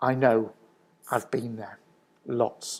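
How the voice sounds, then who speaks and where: A man speaks with a Mancunian accent. His intonation stays fairly even. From northern England, Manchester. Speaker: business consultant. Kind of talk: presentation talk.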